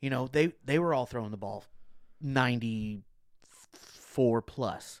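A man has a normal speaking voice with a medium pitch and ordinary pitch variation. He talks at a fairly slow pace. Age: 30s. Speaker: sports fan co-panelist. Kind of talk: casual sports chat.

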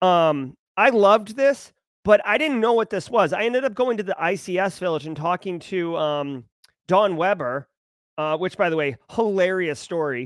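Energetic and animated, a man speaks with a high pitch and lively intonation at a moderate pace. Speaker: cybersecurity livestream host. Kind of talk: casual live stream commentary. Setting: home studio live stream. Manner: energetic, animated.

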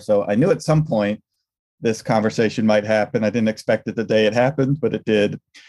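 A dark, mellow voice with an American accent, on a very clean recording with a silent background. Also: man. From New York State, US. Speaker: leadership coach. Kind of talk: casual interview.

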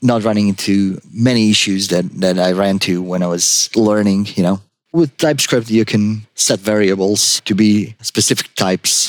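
Delivered with a Croatian accent, the speech moves at a moderate pace with fairly even intonation. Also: man. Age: 40s. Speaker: junior web developer. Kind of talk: casual interview.

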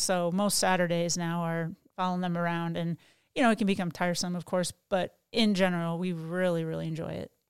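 An ordinary speaking voice with an American accent and fairly even intonation. The pace is fairly quick, and the recording is very clean with a silent background. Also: woman. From Ohio, Toledo. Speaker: pastor's wife. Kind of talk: casual chat.

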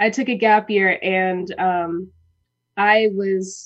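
A woman with an American accent speaks in a normal speaking voice at medium pitch, with fairly even intonation. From Minnesota, US Midwest. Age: 20s. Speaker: actress, singer and dancer. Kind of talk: casual interview. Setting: studio.

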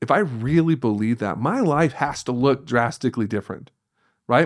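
An ordinary speaking voice with ordinary pitch variation, in a very clean recording over a silent background. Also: man. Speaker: pastor. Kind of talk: casual conversational interview.

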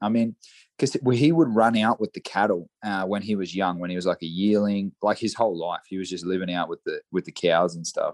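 Against a quiet background, a man with an Australian accent and a fairly low pitch speaks with ordinary pitch variation, the sound dry and close with no echo. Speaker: horse trainer and saddle maker. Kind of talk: casual interview chat.

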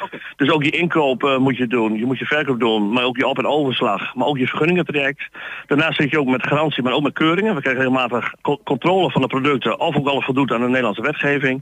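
Speaking very fast, a man keeps his loudness very even, with medium pitch and ordinary pitch variation. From Netherlands, Groningen (Stadskanaal). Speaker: market trader. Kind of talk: radio interview. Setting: outdoor market.

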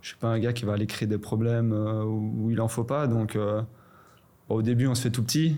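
At a moderate pace, a man in an ordinary speaking voice talks at a medium pitch with fairly even intonation. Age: 20s. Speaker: professional footballer. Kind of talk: casual chat.

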